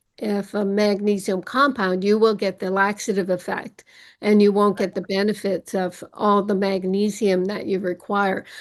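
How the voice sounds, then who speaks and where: At a moderate pace, a woman of medium pitch speaks in monotone, flat intonation over a quiet background. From Canada. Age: 70s. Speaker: medical doctor and naturopath. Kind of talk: interview. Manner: casual, some repetitions and fillers.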